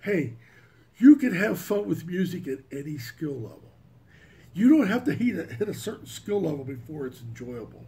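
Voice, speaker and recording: A man's fairly high-pitched voice at a moderate pace, dark and mellow in tone, with vocal fry, very wide pitch swings and big swings in loudness. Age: 60s. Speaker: music hobbyist YouTuber. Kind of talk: casual monologue. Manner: halting.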